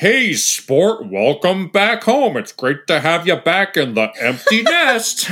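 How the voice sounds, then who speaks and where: Putting on a character voice, a man speaks in a raised, projected voice at a high pitch, with very wide pitch swings, a fairly slow pace, and hardly any pauses. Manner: cheesy, overly cheerful.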